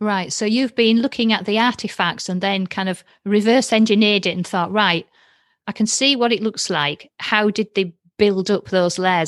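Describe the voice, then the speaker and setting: A woman with a Yorkshire accent speaks at a moderate pace. The sound is dry and close with no echo, over a quiet background. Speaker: podcast host. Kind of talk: casual chat. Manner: animated.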